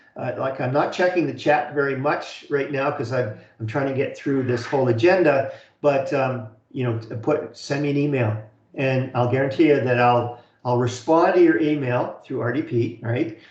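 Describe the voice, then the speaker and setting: A man speaks at a medium pitch with fairly even intonation, and audible room echo surrounds his voice. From Canada. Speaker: college instructor. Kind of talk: online lecture. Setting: video call webinar. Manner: fast; halting, many fillers and repeats.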